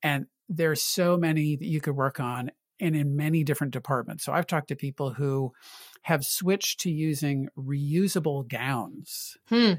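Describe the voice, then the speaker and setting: In a very clean recording with a silent background and a dry, close sound with no echo, a man with a fairly high pitch speaks at a moderate pace, his voice somewhat breathy and his pitch variation ordinary. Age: 60s. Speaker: healthcare climate consultant. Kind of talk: interview.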